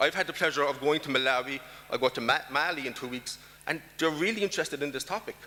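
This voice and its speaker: With a bright, sharp tone, a man speaks at a very fast pace. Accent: Irish. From Ireland. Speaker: diaspora policy expert. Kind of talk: conference talk.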